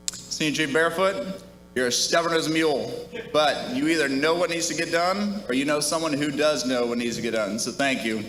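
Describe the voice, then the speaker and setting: A man with an American accent speaks fairly quickly at a fairly high pitch, with ordinary pitch variation. Room echo and noticeable background noise are present. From US Midwest, Minnesota. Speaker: retiring navy officer. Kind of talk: retirement speech.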